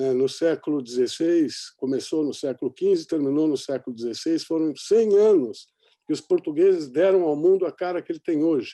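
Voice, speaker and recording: The sound is dry and close, with no echo. A man with a fairly high voice speaks at a moderate pace, his pitch varying in an ordinary way. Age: 60s. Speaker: sailor and journalist, documentary maker. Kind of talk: panel discussion. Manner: hesitant, many fillers.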